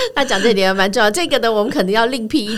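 Noticeable background noise accompanies a woman whose voice is fairly high. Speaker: radio host. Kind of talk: interview. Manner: halting.

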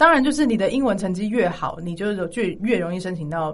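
With audible room echo, a woman speaks very fast, somewhat breathy, with lively intonation. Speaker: music graduate who studied in the UK. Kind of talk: casual chat.

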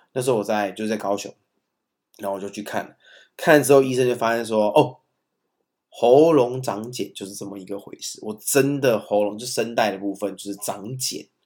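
With a Taiwanese accent, a man speaks at a medium pitch with ordinary pitch variation and big swings in loudness. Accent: Taiwanese Mandarin. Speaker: podcast co-host, father of young children. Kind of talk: casual chat. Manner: fast.

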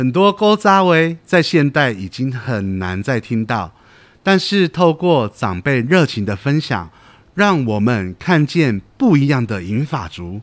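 In a very clean recording with a silent background, a man at medium pitch talks at a very slow pace, his voice swinging very widely in pitch. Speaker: podcast host. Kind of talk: podcast hosting and interview. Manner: cheerful, lively.

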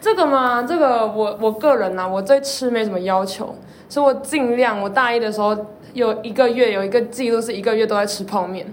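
There is audible room echo and noticeable background noise. A woman speaks fairly quickly at a fairly high pitch. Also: ordinary pitch variation. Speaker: university student co-host. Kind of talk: casual chat.

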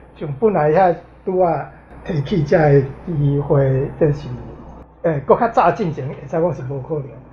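With a Taiwanese accent, the speaker moves at a moderate pace, broken by long, frequent pauses. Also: man, fairly high pitch for a man, ordinary pitch variation. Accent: Taiwanese, speaks mainly Taiwanese Hokkien. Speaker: visually impaired pianist. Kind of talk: casual interview.

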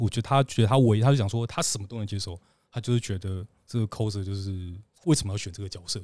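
A man with a Taiwanese accent and a dark, mellow tone at a very fast pace, with ordinary pitch variation, on a very clean recording with a silent background. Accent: Taiwanese Mandarin. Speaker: adult comic artist. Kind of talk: casual chat; heated debate. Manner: halting.

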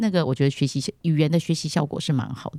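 Delivered at a very fast pace with lively intonation and a dark, mellow tone, this voice carries a Taiwanese Mandarin accent on a very clean recording with a silent background. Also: woman. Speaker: podcast host, founder of English school. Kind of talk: casual interview chat.

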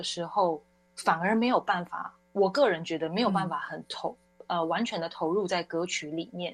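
Music plays behind a woman speaking at a moderate pace. Her pitch variation is ordinary. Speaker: wedding singer. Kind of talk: casual interview chat. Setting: studio.

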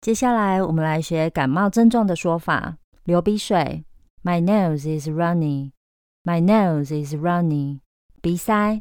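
A woman with a plain, everyday voice talks at a fairly slow pace, her fairly low pitch showing ordinary variation. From Taiwan. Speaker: English teacher. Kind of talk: language lesson podcast.

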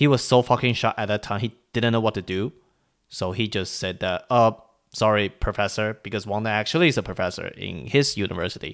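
On a very clean recording with a silent background, a man with a Chinese accent speaks fairly quickly at a fairly low pitch with ordinary pitch variation. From Taiwan. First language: Mandarin Chinese. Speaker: podcast host. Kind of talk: casual solo news commentary.

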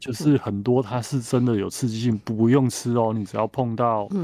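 This man has a dark, mellow tone at a medium pitch with fairly even intonation. He moves at a fairly quick pace against a quiet background. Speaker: botanical writer. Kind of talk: interview.

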